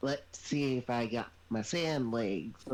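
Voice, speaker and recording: Light background noise sits under a man's put-on character voice. He speaks at a medium pitch and a fairly slow pace. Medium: actual play. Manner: goofy, oblivious.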